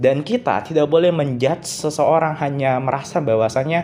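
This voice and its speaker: Shrill voice at a moderate pace with ordinary pitch variation, against noticeable background noise. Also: man. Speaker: solo podcaster. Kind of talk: solo podcast monologue. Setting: recording at night. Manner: casual, conversational.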